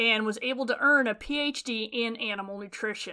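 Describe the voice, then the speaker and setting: A woman with a Western US accent, a bright, sharp tone and fairly high pitch with ordinary pitch variation, on a very clean recording with a silent background. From Western Nevada. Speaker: animal science professor. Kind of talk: scripted narration.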